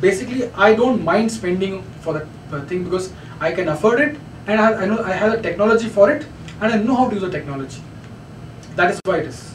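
A high-pitched man with a Kannada accent speaks at a very fast pace with lively intonation, yet leaves long, frequent pauses. Audible room echo and light background noise are present. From India, Bangalore; India. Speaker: radio professional, guest lecturer. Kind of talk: lecture. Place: meeting room. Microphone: camera far.

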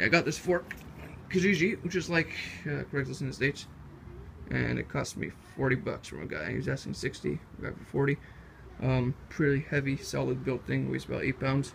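Fairly quick speech over light background noise. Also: man. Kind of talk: casual project walkthrough. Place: garage. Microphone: phone near.

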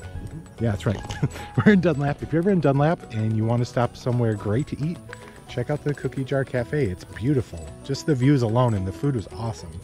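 A man at a very fast pace, dry sound with no echo, clear music in the background. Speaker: vlogger. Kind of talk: casual vlog chat. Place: open country. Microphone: phone near.

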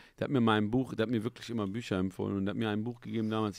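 Against a quiet background, a man with a fairly low pitch speaks in a dry sound with no echo. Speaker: YouTube interview host. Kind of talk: casual interview chat. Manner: casual, filler-heavy speech. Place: studio. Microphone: studio mic.

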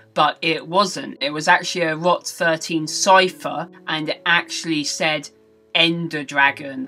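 A woman's fairly low voice with ordinary pitch variation at a fairly slow pace, with faint music in the background. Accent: British. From England. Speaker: gaming news vlogger. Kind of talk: casual gaming news vlog. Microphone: webcam.

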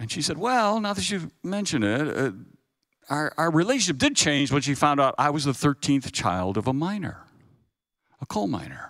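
Against a quiet background, a man with a fairly high pitch speaks at a moderate pace, his pitch swinging very widely. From US Pacific Northwest. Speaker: guest lecturer. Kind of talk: sermon. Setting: chapel with audience. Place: hall. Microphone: handheld.

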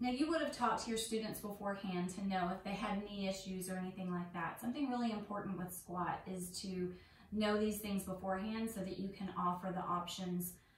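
A woman talks at a fairly quick pace with fairly even intonation, with audible room echo and light background noise. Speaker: yoga teacher trainer. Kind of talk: tutorial. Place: home room. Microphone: camera far.

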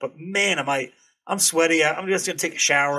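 At a very fast pace, a man with an American accent talks in a bright, sharp tone with ordinary pitch variation. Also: quiet background. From New Hampshire, US. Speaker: airsoft content creator. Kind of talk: casual chat. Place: home room. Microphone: studio mic.

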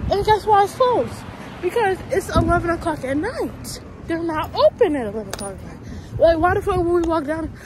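A woman speaks at a moderate pace with an extremely high pitch, very wide pitch swings and big swings in loudness. The sound is dry with no echo, with noticeable background noise. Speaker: lifestyle vlogger. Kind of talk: casual vlog chat. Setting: outdoors and in a grocery store. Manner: animated.

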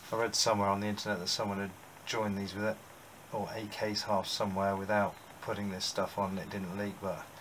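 Light background noise accompanies a man speaking at a fairly low pitch. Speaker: amateur motorcycle restorer. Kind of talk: casual workshop talk to camera. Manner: hesitant, thinking aloud. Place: workshop. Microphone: camera far.

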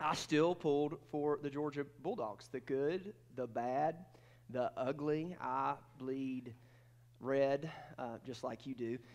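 Ordinary pitch variation at a very slow pace. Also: man. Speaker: preacher. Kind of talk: sermon. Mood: humorous, playful. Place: church.

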